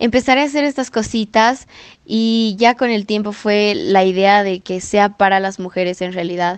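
A woman speaks at a moderate pace with a medium pitch and ordinary pitch variation. It is an unremarkable speaking voice. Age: 20s. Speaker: student entrepreneur. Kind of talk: podcast interview.

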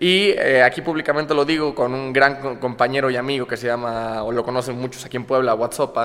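Against noticeable background noise, a man talks at a fairly quick pace with hardly any pauses. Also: medium pitch for a man, fairly even intonation. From Córdoba, Veracruz, Mexico. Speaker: comedian and content creator. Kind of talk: casual chat.

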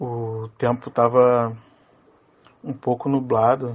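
A man speaks very slowly in a medium pitch with monotone, flat intonation. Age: 20s. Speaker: podcast listener sharing UFO experiences. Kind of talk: personal testimony.

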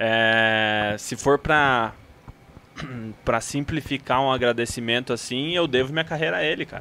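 In a plain, everyday voice, a man speaks at a medium pitch and a fairly slow pace with ordinary pitch variation. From Paraná, Brazil. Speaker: motorsport photographer. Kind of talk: casual chat, podcast interview.

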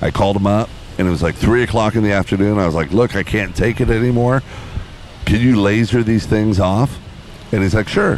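A man with a fairly low pitch speaks at a fairly quick pace with ordinary pitch variation amid noticeable background noise. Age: 50s. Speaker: podcast host. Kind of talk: casual chat. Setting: outdoors on a beach.

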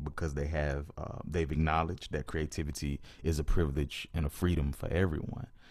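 On a very clean recording with a silent background, a man with an American accent and a very deep, low pitch speaks at a moderate pace in a flat monotone with vocal fry. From US South, Georgia near Atlanta. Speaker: poet and rapper. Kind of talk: interview conversation.

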